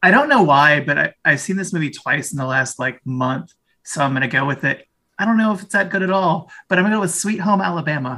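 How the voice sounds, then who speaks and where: A man with an American accent talks at a very fast pace in a high pitch, his tone bright and sharp and his intonation lively. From St. Louis, Missouri. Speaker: high school teacher, trivia contestant. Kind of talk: casual game-show chat.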